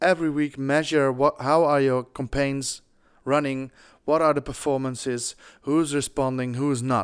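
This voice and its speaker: With a Dutch accent, a man speaks at a fairly high pitch in a monotone, flat intonation at a moderate pace, in a very clean recording with a silent background. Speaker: podcast host, fundraising consultant. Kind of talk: podcast narration; interview.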